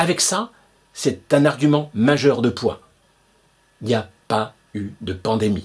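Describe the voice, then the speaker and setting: Against a quiet background, a man of medium pitch speaks at a very slow pace with lively intonation and long, frequent pauses. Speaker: video blogger. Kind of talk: angry conspiracy rant, indignant monologue to camera. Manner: indignant, emphatic, sarcastic; insistent, repetitive, hammering points with rhetorical questions. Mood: indignant, persuasive. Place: home room. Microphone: webcam.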